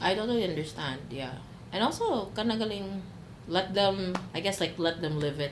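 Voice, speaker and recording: A woman talks at a moderate pace with a medium pitch and lively intonation. The recording has audible room echo and noticeable background noise. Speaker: podcast guest. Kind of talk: casual chat. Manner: loud.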